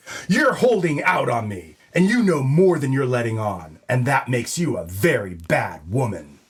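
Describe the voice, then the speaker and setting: A man in a put-on character voice, moderate in pace with hardly any pauses. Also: medium pitch for a man. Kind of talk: comedy audio drama noir narration.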